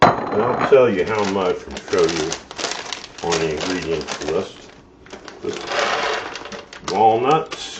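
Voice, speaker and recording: The speaker talks at a very slow pace, with audible room echo and noticeable background noise. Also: man. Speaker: cooking channel host. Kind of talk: cooking tutorial. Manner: casual, hesitant with fillers; loud.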